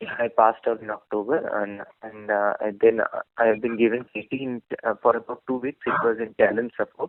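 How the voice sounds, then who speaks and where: A man speaks in a flat monotone. His pace is fairly quick. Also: medium pitch for a man. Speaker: job candidate, fresh graduate. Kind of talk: job interview. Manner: soft-spoken; halting. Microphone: too quiet.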